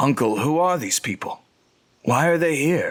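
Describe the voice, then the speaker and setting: Raspy, put-on character voice from a man, delivered at a moderate speed. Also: fairly high pitch for a man. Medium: audio drama.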